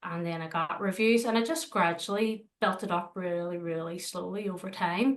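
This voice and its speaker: With hardly any pauses, a woman talks at a medium pitch in a Northern Irish accent. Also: ordinary pitch variation, moderate pace. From Northern Ireland, Belfast. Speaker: dog trainer and dog walker. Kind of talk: interview. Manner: hesitant, many fillers.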